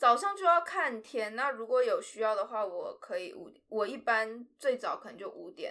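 With a bright, sharp tone, the speaker moves at a fairly slow pace through very wide pitch swings. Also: woman. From Taiwan, with four years in Shanghai. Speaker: drama student. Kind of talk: interview. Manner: halting, stumbles for words.

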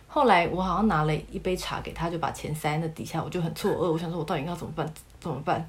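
A woman with a fairly low pitch talks very fast with fairly even intonation, and room echo is audible. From Taiwan. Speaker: former casino worker. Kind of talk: casual interview chat.

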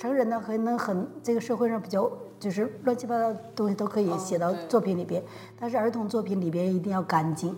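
Noticeable background noise sits behind a woman who talks at a fairly quick pace, her fairly high voice showing ordinary pitch variation. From Changchun, northeast China. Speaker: university Chinese professor. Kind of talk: casual interview.

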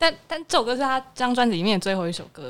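A woman's fairly high voice at a very fast pace, with lively intonation. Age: 20s. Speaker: music fan guest. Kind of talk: casual chat.

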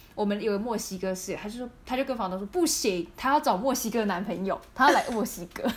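Noticeable background noise fills the recording. Over it, a woman talks very fast. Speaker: podcast co-host. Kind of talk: casual chat.

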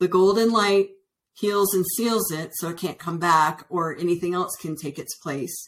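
Speaking fairly slowly with an American accent, a woman uses a plain, everyday voice with lively intonation. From Northern Virginia, US. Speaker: energy healer. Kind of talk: interview.

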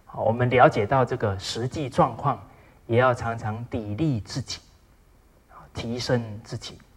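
Pausing long and often, a man talks in a somewhat breathy voice at medium pitch, with fairly even intonation. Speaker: lecturer on traditional Chinese ethics. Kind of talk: lecture. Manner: frequent filler particles, measured pace.

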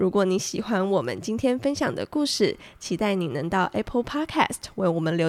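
In a very clean recording with a silent background, a woman speaks at a medium pitch with very wide pitch swings. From Taiwan, Tainan. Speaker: podcast host. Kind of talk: casual chat. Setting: studio.

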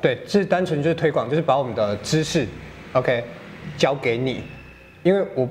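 At a moderate pace, a man with a Taiwanese accent speaks at a fairly high pitch with lively intonation. He takes long, frequent pauses. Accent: Taiwanese Mandarin. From Taiwan, Tainan. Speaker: fitness coach. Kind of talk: casual interview. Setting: fitness studio.

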